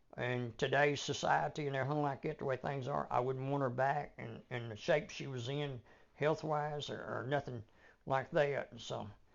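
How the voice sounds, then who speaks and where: This man speaks with a Southern US accent at a medium pitch. His pace is moderate and his intonation fairly even. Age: 70s. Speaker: grandfather of the hosts, podcast guest. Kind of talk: casual family interview chat. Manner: halting, many fillers and repeats.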